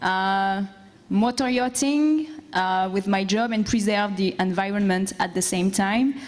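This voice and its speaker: A woman speaks at a fairly slow pace in a French accent. Her pitch is fairly high, with ordinary variation. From France. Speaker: boat captain and entrepreneur. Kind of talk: conference presentation.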